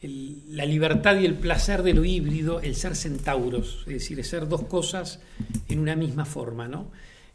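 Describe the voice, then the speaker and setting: At a moderate pace, a man speaks at a fairly high pitch with audible room echo. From Uruguay, Montevideo. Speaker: playwright and theatre director. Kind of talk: interview monologue. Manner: thoughtful, frequent hesitations and repetitions.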